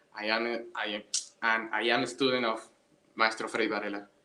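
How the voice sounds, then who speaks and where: A man with a Spanish accent talks at a fairly quick pace. His medium-pitched voice has a bright, sharp tone. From Venezuela. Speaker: orchestra violinist and student. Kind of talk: casual chat. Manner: halting.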